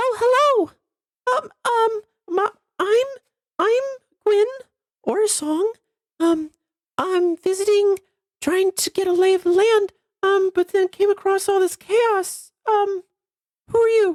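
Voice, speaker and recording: A squeaky, extremely high-pitched put-on character voice, fairly slow, with long, frequent pauses. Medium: actual play. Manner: hesitant, stammering, cheery.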